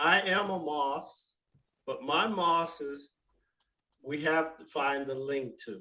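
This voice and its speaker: Speaking with an American accent, a man uses a normal speaking voice with a fairly high pitch and ordinary pitch variation. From Northern California. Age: 60s. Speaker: genealogy researcher. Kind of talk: self-introduction in group video meeting. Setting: video call.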